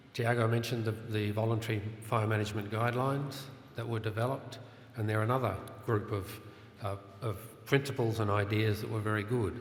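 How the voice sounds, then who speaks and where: A man's medium-pitched voice with an Australian accent, fairly quick and monotone, with long, frequent pauses, audible room echo, and noticeable background noise. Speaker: conference session chair. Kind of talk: conference panel introduction. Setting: conference room with audience.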